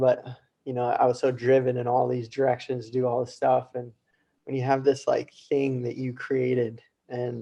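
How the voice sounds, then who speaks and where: A man with an American accent, medium pitch, a dark, mellow tone and a moderate pace. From US West, Colorado. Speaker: wing foil instructor. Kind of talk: interview.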